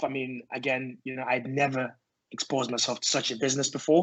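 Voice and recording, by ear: At a fairly quick pace, a man speaks at medium pitch. His tone is fairly bright, with little pitch movement.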